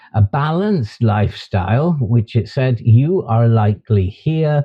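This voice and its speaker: Somewhat breathy speech from a man with a British accent, medium pitch, and ordinary pitch variation. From UK. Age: 60s. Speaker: YouTuber and author. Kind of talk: vlog monologue.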